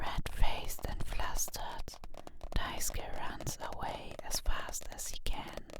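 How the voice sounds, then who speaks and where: Whispering at a very slow pace, a woman speaks in a calm tone over noticeable background noise. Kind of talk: whispered ASMR manga recap and review. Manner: whispered, soft-spoken; calm, cozy, relaxing.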